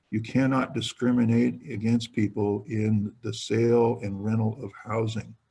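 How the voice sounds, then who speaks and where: Somewhat breathy speech in an American accent at a fairly slow pace. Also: man. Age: 60s. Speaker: retiring state politician. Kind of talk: webinar talk. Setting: webinar.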